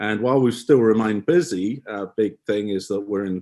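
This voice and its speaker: Over a silent background in a very clean recording, a man with an English accent speaks at a fairly quick pace with fairly low pitch and ordinary pitch variation. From England. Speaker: photography business owner. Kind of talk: podcast interview. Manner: halting.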